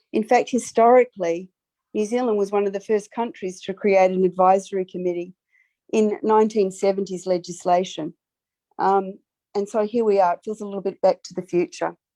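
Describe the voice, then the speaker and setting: A woman with a slight Australian accent speaks fairly quickly in a dark, mellow tone with fairly even intonation, the sound dry and close with no echo against a quiet background. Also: big swings in loudness. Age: 60s. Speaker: public submitter. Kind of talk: formal submission to committee. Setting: video call. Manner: earnest, impassioned.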